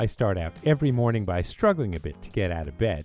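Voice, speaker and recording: A man with an American accent talks fairly quickly at a fairly low pitch, his voice making very wide pitch swings as music plays behind him. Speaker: radio DJ. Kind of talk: humorous voiceover narration. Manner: playful, joking.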